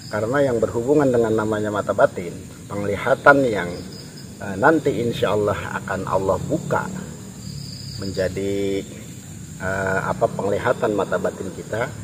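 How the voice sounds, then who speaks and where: A man talks in a fairly low voice. Long pauses come often, over noticeable background noise. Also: ordinary pitch variation, moderate pace. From Jakarta, Betawi. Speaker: paranormal explorer, video host. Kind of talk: casual spiritual talk to camera. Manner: hesitant, many fillers.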